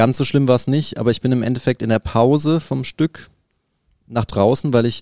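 Dark, mellow tone from a man, dry and close with no echo. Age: 30s. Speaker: professional drummer. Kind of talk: interview.

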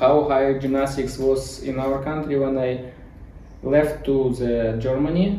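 In a Ukrainian accent, a man talks with a fairly high pitch and monotone, flat intonation. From Ukraine. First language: Ukrainian or Russian. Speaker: gymnastics coach. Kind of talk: interview. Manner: halting.

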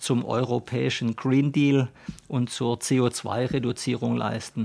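A man speaks with monotone, flat intonation. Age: 50s. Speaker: company managing director. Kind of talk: interview. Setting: studio.

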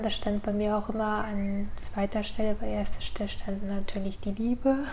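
A woman with a fairly high pitch and a dark, mellow tone, in monotone, flat intonation at a moderate pace. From northern Germany, Norderstedt near Hamburg. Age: 30s. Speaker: stroke survivor. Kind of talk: interview, personal story.

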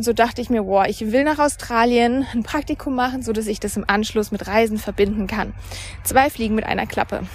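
A woman's fairly high voice at a fairly quick pace over noticeable background noise. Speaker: podcast host and mindset coach. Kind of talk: solo monologue podcast, storytelling. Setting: outdoors, walking by a river.

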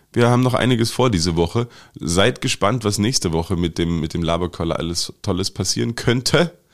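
On a very clean recording with a silent background, a man talks at a moderate pace with lively intonation. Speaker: podcast co-host. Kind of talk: casual chat.

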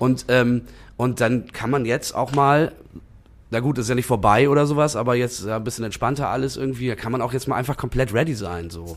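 A man with a plain, everyday voice speaks at a fairly quick pace and medium pitch, with ordinary pitch variation. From northern Germany, Bremen-Nord (Blumenthal). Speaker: musician. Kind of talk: casual chat. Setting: bar room with drinks.

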